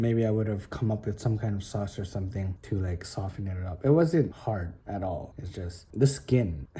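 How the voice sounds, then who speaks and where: A man whispers in a somewhat breathy voice. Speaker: spearfishing vlogger. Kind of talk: casual vlog talk. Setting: at home. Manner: whispering.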